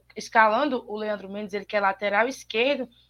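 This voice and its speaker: A woman talks with fairly even intonation at a fairly high pitch. Hers is a plain, everyday voice. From Ceará interior, Brazil. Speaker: sports reporter. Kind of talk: sports talk show. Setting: remote call into live show.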